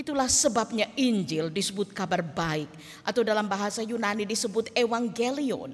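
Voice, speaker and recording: Somewhat breathy, a woman with a fairly high pitch talks at a moderate pace with lively intonation. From Indonesia, Toraja (South Sulawesi). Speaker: pastor. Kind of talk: sermon. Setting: church. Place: church. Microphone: podium.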